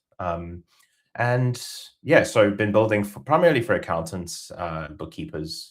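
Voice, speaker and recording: In a South African accent, a man speaks fairly slowly at a fairly low pitch, with very wide pitch swings and big swings in loudness. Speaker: software company co-founder. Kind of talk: webinar presentation. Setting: video webinar.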